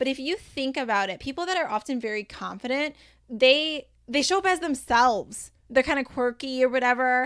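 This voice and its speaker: In a very clean recording with a silent background, a woman speaks in a high voice with an energetic tone. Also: ordinary pitch variation. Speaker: podcast host and life coach. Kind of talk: solo podcast monologue. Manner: fast.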